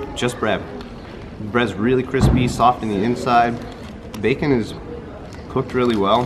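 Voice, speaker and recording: A man talks at a fairly slow pace. There is noticeable background noise. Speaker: travel food vlogger. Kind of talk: casual vlog chat. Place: street. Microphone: phone near.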